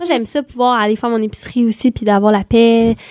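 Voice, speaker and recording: A woman talks in a Quebec accent at a fairly high pitch. The sound is dry and close, without echo. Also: very clean recording, silent background. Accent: Québécois French. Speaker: singer. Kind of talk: casual interview chat.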